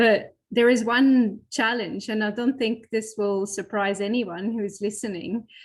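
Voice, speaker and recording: A fairly high-pitched woman with a Flemish accent, fairly even intonation and hardly any pauses. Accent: Belgian Flemish accent, lasting. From Belgium, Flemish region. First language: Flemish (Dutch). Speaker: professor and physiotherapist, falls researcher. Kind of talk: webinar panel discussion. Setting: live online webinar. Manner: halting, many fillers and repetitions.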